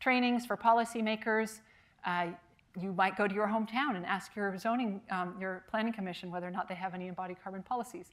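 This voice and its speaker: At a fairly quick pace, a woman talks in a medium pitch with fairly even intonation. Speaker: architecture professor and structural engineer. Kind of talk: lecture. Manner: fast; many filler words and restarts.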